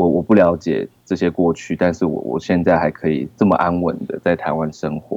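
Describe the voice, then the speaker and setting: At a moderate pace, a man speaks with a very deep, low pitch in a dry, close sound with no echo. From Taiwan, Taoyuan. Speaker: film director. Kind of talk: casual interview. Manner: halting.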